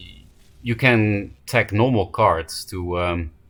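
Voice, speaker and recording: Here a man talks with a Dutch accent. His pitch varies in an ordinary way. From Netherlands. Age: 20s. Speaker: card game streamer. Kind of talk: live gameplay commentary.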